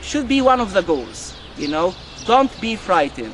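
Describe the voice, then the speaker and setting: Over noticeable background noise, the voice moves at a moderate pace with very wide pitch swings. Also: man. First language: not English. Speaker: university lecturer, club coordinator. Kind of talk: conversation club session. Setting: university cafe with students.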